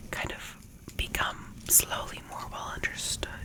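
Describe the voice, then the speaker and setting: Very slow whispering over noticeable background noise. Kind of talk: ASMR talk to camera, breathy whispers. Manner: soft, casual, conversational.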